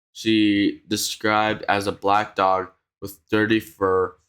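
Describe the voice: A quiet background sits behind this plain reading aloud.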